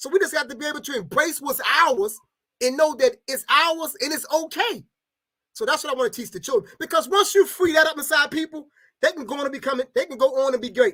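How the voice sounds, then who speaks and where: A man speaks very fast in an extremely high pitch with a raised, projected voice and a bright, sharp tone. His intonation is lively and his loudness swings widely. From Baltimore, Maryland. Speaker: educator and community organizer. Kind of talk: interview.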